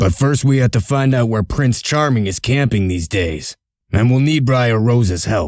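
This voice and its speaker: On a very clean recording with a silent background, a man does a put-on character voice at medium pitch and a moderate pace. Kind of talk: comic dub.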